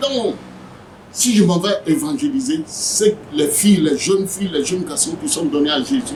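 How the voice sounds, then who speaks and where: A man talks fairly slowly in a high voice, with very wide pitch swings. Background noise is noticeable. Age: 70s. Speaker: evangelist. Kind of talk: interview. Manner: animated.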